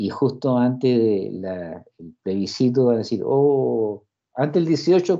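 A man with a Chilean accent speaks at a fairly slow pace with a dark, mellow tone. The background is quiet. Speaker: university lecturer. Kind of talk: lecture. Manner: animated. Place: home room. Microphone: video call.

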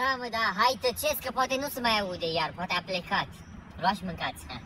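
A woman speaks at a moderate pace with lively intonation, over light background noise, in a dry sound with no echo. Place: forest.

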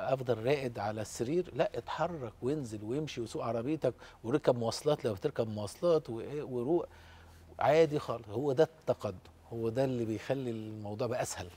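Somewhat breathy, this man's voice carries a dark, mellow tone. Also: medium pitch for a man, ordinary pitch variation, moderate pace. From Egypt. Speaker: professor of interventional pain medicine. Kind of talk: casual TV interview. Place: studio. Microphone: lapel.

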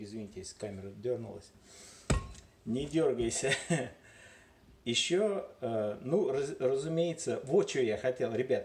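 Noticeable background noise sits under a man's voice. He talks at a very slow pace with long, frequent pauses. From Moscow, Russia. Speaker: home video maker. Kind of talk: casual vlog talk to camera. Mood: joking, playful. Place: kitchen. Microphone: phone near.

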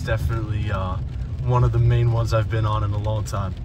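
A man at a fairly quick pace over background music. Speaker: travel vlogger. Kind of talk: casual vlog chat. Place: car.

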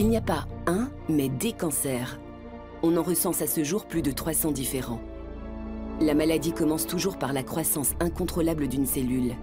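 Over clear background music, a woman with a very deep, low voice speaks at a fairly slow pace with lively intonation. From France. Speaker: voice actor. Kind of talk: documentary narration. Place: booth. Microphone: studio mic.

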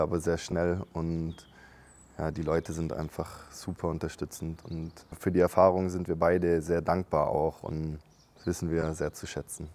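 At a moderate pace, a man speaks with a very deep, low pitch and a dark, mellow tone. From Germany. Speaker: architect and university marketing coordinator. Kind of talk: casual interview chat. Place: factory.

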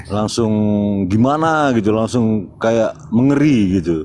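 A man with an unremarkable speaking voice talks at a fairly slow pace. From North Sumatra, Karo Batak. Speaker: debate participant. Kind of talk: religious debate.

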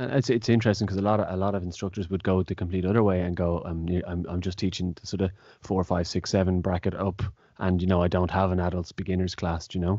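With an Irish accent, a man talks very fast in a very deep, low, monotone voice, the sound dry with no echo and the background quiet. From Ireland. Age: 30s. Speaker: taekwon-do instructor and podcast host. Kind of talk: casual interview. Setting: video call. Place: home room. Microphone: studio mic.

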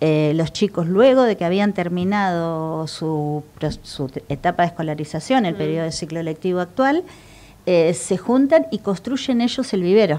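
At a moderate pace, a woman speaks with a fairly low pitch, a dark, mellow tone and lively intonation. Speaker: guest. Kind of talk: interview answer. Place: studio. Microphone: lapel.

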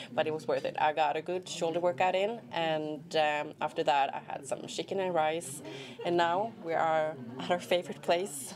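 A woman's fairly low voice with a Swedish accent, fairly even intonation and a moderate pace, over light background noise. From Sweden. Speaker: vlogger and fitness trainer; fitness vlogger. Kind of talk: vlog. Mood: relaxed, cheerful. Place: cafe. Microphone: lapel.

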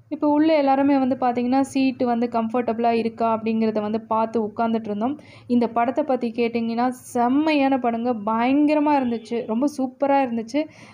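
A woman with a high pitch speaks with fairly even intonation and very even loudness. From India, Kolar Gold Fields (Karnataka), Tamil-speaking. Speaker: YouTuber. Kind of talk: casual vlog narration. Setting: outside and inside a cinema theatre.

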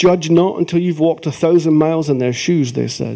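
A man speaks in a Scottish accent at a fairly high pitch. His pace is moderate and his pitch variation ordinary. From Scotland. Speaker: folk singer and poet. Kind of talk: live poetry reading. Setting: theatre stage. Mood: emotional, reflective. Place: stage.

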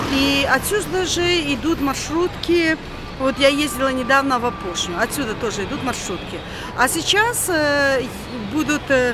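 A woman speaks with long, frequent pauses while music plays behind her. The sound is dry, with no echo. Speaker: travel vlogger. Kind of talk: casual vlog chat. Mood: chatty, slightly indignant. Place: street. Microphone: phone near.

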